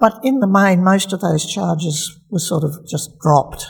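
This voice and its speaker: This woman has an Australian accent and a fairly low pitch. She talks at a fairly slow pace with fairly even intonation. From Australia, Melbourne. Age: 70s. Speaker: retired community health doctor. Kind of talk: personal life story interview. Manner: halting, with fillers.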